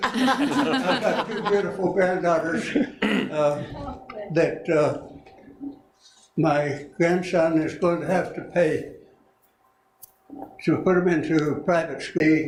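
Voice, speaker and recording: In a room with audible echo, a man with a high pitch and ordinary pitch variation talks at a very slow pace with long, frequent pauses. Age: 90s. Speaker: member of the public at board meeting. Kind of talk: public comment.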